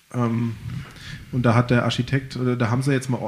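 This is a man's voice, pitched in the middle of his range. It carries a slight breathiness. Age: 30s. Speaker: local podcast host. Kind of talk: casual chat.

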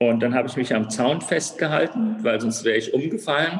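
Speaking at a moderate pace, a man uses an unremarkable speaking voice at medium pitch. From Germany, Frankfurt area. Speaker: bicycle company founder. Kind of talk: interview.

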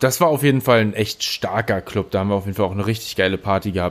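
This is an ordinary speaking voice, a man's at a fairly low pitch. His pitch variation is ordinary. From Berlin. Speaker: podcast co-host. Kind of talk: casual chat.

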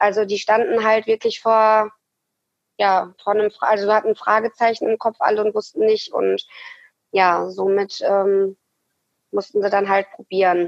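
Her pitch is fairly high, and her intonation is monotone and flat. This woman keeps a very even loudness throughout. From Ruhr area, western Germany. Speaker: amputee, prosthesis wearer. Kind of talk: interview, personal story. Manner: hesitant, many fillers.

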